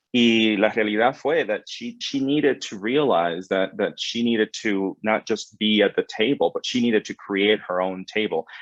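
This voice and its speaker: A man with a Spanish accent at a moderate pace, ordinary pitch variation, and a dry, close sound with no echo over a quiet background. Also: medium pitch for a man. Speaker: credit union executive. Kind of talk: panel webinar conversation.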